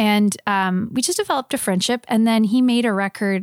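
In an unremarkable speaking voice, a woman talks at a moderate pace. The recording is very clean with a silent background, and the sound is dry and close with no echo. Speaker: singer-songwriter. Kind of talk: casual interview.

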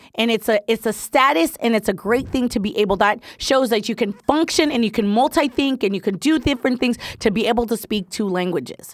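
A woman's fairly high voice in a Spanish accent, animated in tone, at a fairly quick pace with hardly any pauses and ordinary pitch variation. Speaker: podcast co-host. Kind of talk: casual chat.

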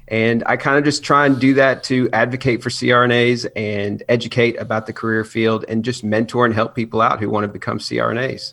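A man with an American accent and a plain, everyday voice, medium in pitch, fairly even in intonation, at a moderate pace. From US South. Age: 30s. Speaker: nurse anesthetist and YouTuber. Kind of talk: casual chat.

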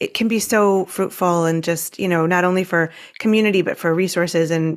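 A woman with an unremarkable speaking voice talks at a fairly quick pace, fairly low in pitch and fairly even in intonation. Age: 50s. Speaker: podcast host and writing coach. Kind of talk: interview.

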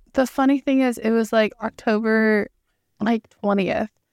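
Recorded with a dry, close sound and no echo, a woman with an unremarkable speaking voice talks at a moderate pace and a fairly high pitch. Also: very clean recording, silent background. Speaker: podcast co-host. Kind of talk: casual chat.

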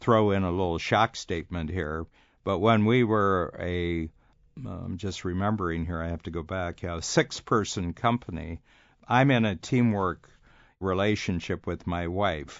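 The speaker is a man with a very deep, low pitch. He talks at a fairly slow pace. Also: ordinary pitch variation. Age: 70s. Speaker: business coach. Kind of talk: interview.

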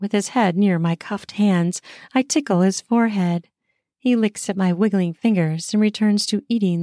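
An unforced reading voice with ordinary pitch variation plays over a quiet background.

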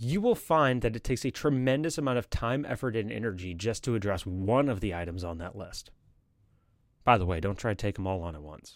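A plain, everyday voice from a man, fairly low in pitch and fairly quick, with lively intonation and big swings in loudness. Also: very clean recording, silent background. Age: 30s. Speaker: podcast host. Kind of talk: solo monologue podcast. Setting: live stream with chat.

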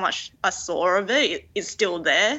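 This is a woman speaking with an Australian accent. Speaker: fashion designer. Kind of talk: interview.

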